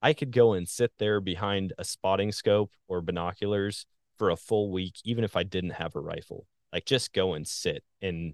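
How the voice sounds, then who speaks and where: A man speaks with a very deep, low pitch against a quiet background. The sound is dry and close, with no echo. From Wisconsin, US Midwest. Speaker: hunter and social media content creator. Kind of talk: casual interview chat.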